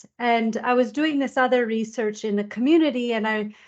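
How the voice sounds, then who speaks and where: A woman talks at a fairly slow pace in a Canadian accent. Her fairly high pitch shows ordinary variation over a quiet background. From Canada. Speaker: university lecturer, biological anthropologist. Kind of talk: webinar presentation. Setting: online webinar. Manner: hesitant, many fillers.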